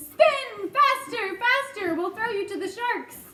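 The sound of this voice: Shouting in a put-on character voice, a woman speaks slowly at an extremely high pitch with a bright, sharp tone. Her intonation is lively, and the room echo is audible.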